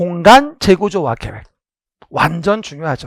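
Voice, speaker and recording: An animated man talks at a moderate pace, his voice dry and close with no echo. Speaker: exam prep lecturer. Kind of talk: lecture. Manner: clear pronunciation.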